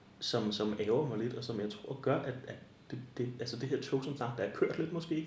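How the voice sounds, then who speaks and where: Noticeable background noise and audible room echo surround a man speaking at medium pitch with ordinary pitch variation. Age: 40s. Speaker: librarian. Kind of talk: interview. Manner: halting.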